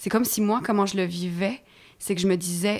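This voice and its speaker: On a very clean recording with a silent background, a woman speaks at a medium pitch and a moderate pace. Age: 30s. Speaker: stage actress. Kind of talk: interview conversation.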